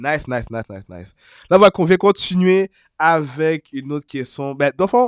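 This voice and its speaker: A man talks at a fairly quick clip in a normal speaking voice, his pitch fairly high and his intonation lively. The recording is very clean with a silent background and a dry, close sound with no echo. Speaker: hip-hop interviewer. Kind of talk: casual interview questions.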